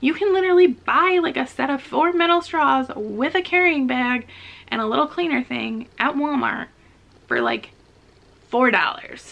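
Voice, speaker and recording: Her voice high, a woman talks with lively intonation. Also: moderate pace. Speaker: vlogger. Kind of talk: casual chat. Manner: casual, filler-heavy.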